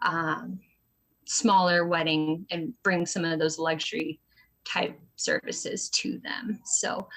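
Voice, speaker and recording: Speaking in an American accent, a woman has a fairly low pitch and a bright, sharp tone. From US Northwest, small town near Boise. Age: 20s. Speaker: small business owner. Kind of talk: interview. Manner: many fillers (um, uh).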